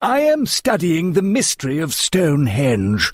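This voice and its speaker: A man talks at a moderate pace in a put-on character voice, pitched high and swinging very widely up and down. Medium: read story. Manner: earnest, thoughtful.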